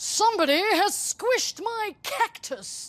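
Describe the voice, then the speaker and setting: An extremely high, put-on character voice at a fairly slow pace. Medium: read story. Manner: aggrieved, declaring.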